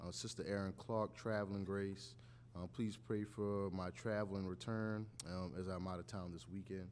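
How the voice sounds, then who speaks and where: With a normal speaking voice, a man talks at a fairly low pitch and ordinary pitch variation. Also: moderate pace. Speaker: church member leading scripture and prayer. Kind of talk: scripture reading and prayer. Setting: church.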